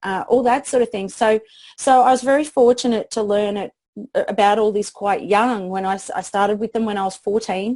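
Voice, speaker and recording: A woman speaks at a fairly quick pace. Her intonation is fairly even. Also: fairly high pitch for a woman. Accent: Australian. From Australia, country town. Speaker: PR expert. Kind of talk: interview. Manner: halting.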